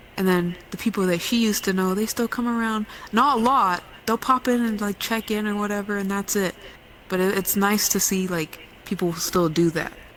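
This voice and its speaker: A woman at a medium pitch with fairly even intonation, over noticeable background noise. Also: moderate pace. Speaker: podcast co-host. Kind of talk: casual chat. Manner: monotone.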